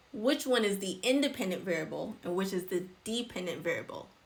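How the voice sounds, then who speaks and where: Audible room echo around a woman talking at a moderate pace, her pitch medium. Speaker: nurse educator doing exam review. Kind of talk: live-stream tutorial. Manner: casual, filler-heavy.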